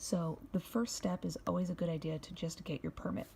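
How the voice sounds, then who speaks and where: A quiet voice at a fairly quick pace. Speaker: YouTube vlogger. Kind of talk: tutorial. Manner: casual.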